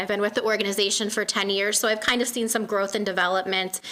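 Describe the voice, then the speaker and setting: A woman is speaking. Her pitch is medium. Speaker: nonprofit outreach staff. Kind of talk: community presentation. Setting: meeting room with audience. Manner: hesitant, many fillers.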